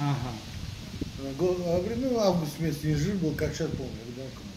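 Pitch swings very widely at a moderate pace. Noticeable background noise runs underneath. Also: man. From Azerbaijan. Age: 60s. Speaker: pigeon breeder. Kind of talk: casual chat. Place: garden. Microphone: camera far.

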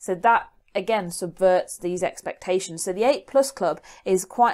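A woman speaks at medium pitch with a British accent and ordinary pitch variation. The recording is very clean, with a silent background. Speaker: GCSE media revision YouTuber. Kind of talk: educational tutorial. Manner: fast.

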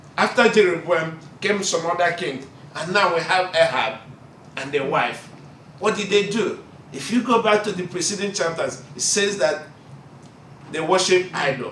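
A man with a high-pitched voice speaks in a room with audible echo and light background noise. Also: ordinary pitch variation. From Nigeria. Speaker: Bible college student preacher. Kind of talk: sermon. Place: classroom. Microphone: camera far.

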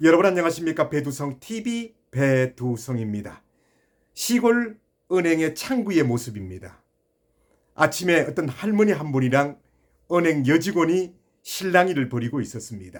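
At a fairly slow pace, a man speaks at a fairly high pitch with very wide pitch swings. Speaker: YouTube channel host telling a funny story. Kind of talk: storytelling monologue; direct address to viewers.

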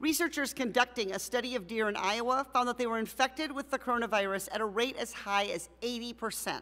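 At a fairly quick pace, a woman speaks with a high pitch and a bright, sharp tone, her pitch varying in an ordinary way. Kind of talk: formal opening statement. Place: hall. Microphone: podium.

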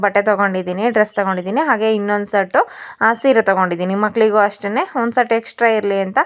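A woman's fairly high voice with fairly even intonation, over a quiet background. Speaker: family vlogger. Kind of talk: travel vlog. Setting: home, later train.

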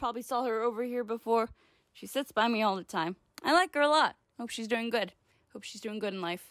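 A woman speaks at a moderate pace in a fairly high voice with lively intonation, the sound dry with no echo and the background quiet. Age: 20s. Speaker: comedy vlogger. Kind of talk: comedic vlog monologue. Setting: home recording to camera. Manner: animated. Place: home room.

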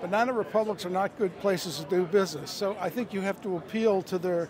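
A man's high voice at a moderate pace, with ordinary pitch variation, a dry sound with no echo, and noticeable background noise. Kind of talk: interview answer. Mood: earnest, persuasive. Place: street. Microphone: handheld.

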